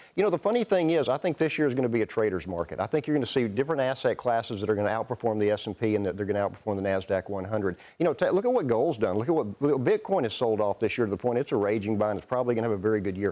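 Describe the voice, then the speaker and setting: The tone is dark and mellow, with a Southern US accent. There are hardly any pauses. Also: man, medium pitch for a man. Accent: Southern drawl. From Texas. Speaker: investment firm CEO, portfolio manager. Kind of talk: TV business news interview.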